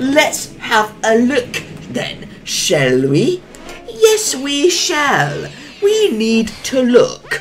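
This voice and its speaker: A put-on character voice comes at a very slow pace against clear background noise. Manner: instructive, teacherly.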